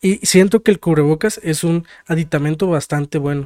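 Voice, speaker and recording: On a very clean recording with a silent background and a dry, close sound with no echo, a man with a Mexican accent and a fairly high pitch talks at a fairly quick pace. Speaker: podcast co-host. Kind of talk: casual chat.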